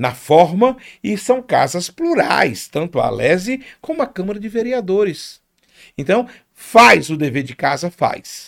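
His pitch swings very widely and sits high for a man. This man talks at a fairly slow pace. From Rio de Janeiro, Brazil (Penha). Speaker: carnival reveler and media personality. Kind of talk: casual chat. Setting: studio.

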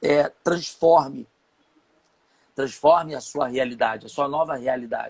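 A man talks in a rather high voice, his pitch moving in a normal way. The sound is close and dry without any echo. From Rio de Janeiro, São Gonçalo. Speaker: entrepreneur and marketing consultant. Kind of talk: interview, live online chat.

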